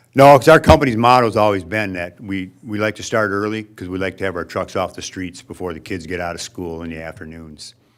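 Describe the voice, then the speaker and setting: A man with a very deep, low pitch talks at a fairly quick pace, his loudness swinging widely, in a very clean recording with a silent background. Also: ordinary pitch variation, hardly any pauses. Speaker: waste hauling company owner. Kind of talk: presentation to city council. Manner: casual, hesitant.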